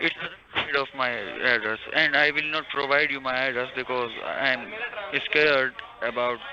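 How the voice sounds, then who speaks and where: A man's medium-pitched voice, with fairly even intonation, is heard over noticeable background noise. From India, Bihar. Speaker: scam call center worker. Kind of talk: phone conversation. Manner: hesitant.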